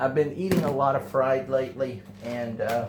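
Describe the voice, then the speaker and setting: There is noticeable background noise and audible room echo. A man speaks at a moderate pace in a medium pitch. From Texas. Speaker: home cook, channel owner. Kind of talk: cooking tutorial. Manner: casual, hesitant with fillers.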